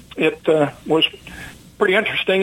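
A man's fairly high voice in an American accent, with noticeable background noise. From US South, Mississippi. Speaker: fighter pilot, war veteran. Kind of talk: interview.

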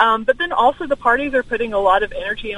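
Noticeable background noise runs behind a woman who talks very fast. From Alabama. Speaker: political commentator. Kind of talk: radio interview.

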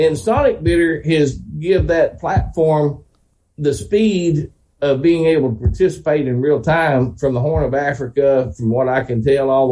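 A man speaks with a Southern US accent at a fairly slow pace. His voice is somewhat breathy and dark and mellow in tone, with ordinary pitch variation. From Oklahoma. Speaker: classic car dealer and auctioneer. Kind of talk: casual chat.

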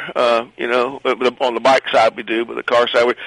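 Against noticeable background noise, a man at medium pitch speaks at a moderate pace in a dry, close sound with no echo. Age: 50s. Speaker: museum staff member. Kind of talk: interview. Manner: halting.

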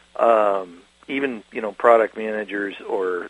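A man with a plain, everyday voice speaks at medium pitch with ordinary pitch variation, in a dry, close sound with no echo. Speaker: geospatial magazine writer. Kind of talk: radio interview.

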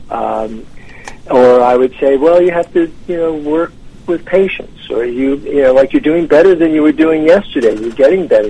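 A man with a normal speaking voice, fairly high in pitch, with an American accent, ordinary pitch variation and a moderate pace. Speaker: author and tennis champion. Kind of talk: radio interview. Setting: phone call.

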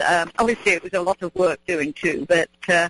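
In a southern English accent, a woman with a medium-pitched voice speaks at a moderate pace with ordinary pitch variation, the sound dry and close with no echo. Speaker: gardening expert. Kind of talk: casual chat. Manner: halting.

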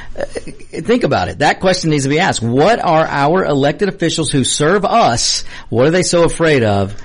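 A man talks at a fairly high pitch and a moderate pace. His intonation is lively, with noticeable background noise behind him. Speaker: co-host. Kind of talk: casual banter. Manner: jokey, laughing, storytelling.

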